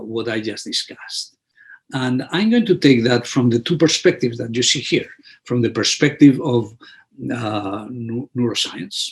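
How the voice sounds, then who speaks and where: A man speaks at a fairly slow pace with a Spanish accent. His voice is somewhat breathy, with ordinary pitch variation. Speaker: physician and immunologist. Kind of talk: webinar presentation. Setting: online webinar. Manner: halting, many repetitions and fillers.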